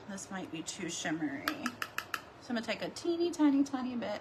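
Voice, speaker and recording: Background noise is easy to notice. The speaker is a woman. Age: 40s. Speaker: beauty livestreamer. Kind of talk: makeup tutorial livestream. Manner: casual, chatty.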